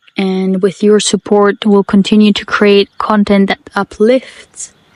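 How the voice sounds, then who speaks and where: A woman's fairly high voice with a non-native accent, very slow, in a dry, close sound with no echo. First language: not English. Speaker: podcast host. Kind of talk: personal monologue. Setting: outdoors in the bush.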